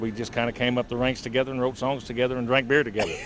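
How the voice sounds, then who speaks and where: A man talks in an American accent at medium pitch with monotone, flat intonation. Noticeable background noise is present. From rural southern Illinois. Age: 40s. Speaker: country singer-songwriter. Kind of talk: casual interview. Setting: bar venue.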